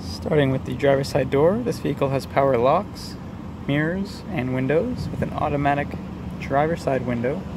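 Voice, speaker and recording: There is noticeable background noise, and the sound is dry with no echo. A man talks at a moderate pace. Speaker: car salesperson. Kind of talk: vehicle walkaround presentation. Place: street. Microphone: phone near.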